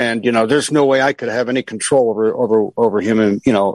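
Recorded dry and close with no echo, a man at a medium pitch talks at a very fast pace with fairly even intonation. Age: 70s. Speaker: caller. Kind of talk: call-in chat.

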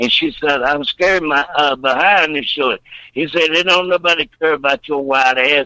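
At a moderate pace, a man speaks in a bright, sharp tone, the sound dry and close with no echo. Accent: Southern US. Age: 60s. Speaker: caller. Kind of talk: phone-in call.

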